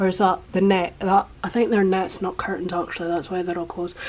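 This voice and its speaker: Someone with a Scottish accent speaks at a fairly quick pace. The recording carries noticeable background noise. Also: woman. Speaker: hotel review vlogger. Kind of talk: casual vlog walkthrough. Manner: fast; animated.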